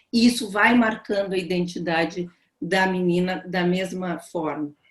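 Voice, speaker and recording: This woman has an unremarkable speaking voice. She talks at a fairly slow pace with ordinary pitch variation. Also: medium pitch for a woman. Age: 60s. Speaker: psychoanalyst. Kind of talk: panel talk on video call. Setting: video call.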